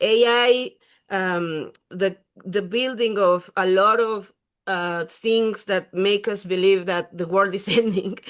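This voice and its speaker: At a fairly slow pace, a woman with a Spanish accent speaks with ordinary pitch variation. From Mexico. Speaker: writer and panelist. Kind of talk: panel discussion. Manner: halting.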